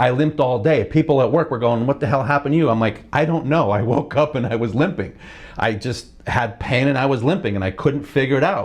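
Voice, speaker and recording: With an American accent, a man talks at a fairly quick pace and a medium pitch with ordinary pitch variation over noticeable background noise. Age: 60s. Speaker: motorcycle vlogger. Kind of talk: casual vlog monologue. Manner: halting, with frequent restarts and fillers.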